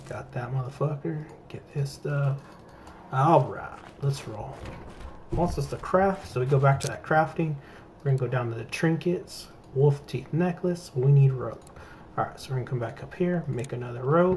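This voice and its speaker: A man with a fairly high, somewhat breathy voice, ordinary pitch variation, a moderate pace and long, frequent pauses. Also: big swings in loudness. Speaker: gaming youtuber. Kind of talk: gameplay tutorial. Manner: casual, profane.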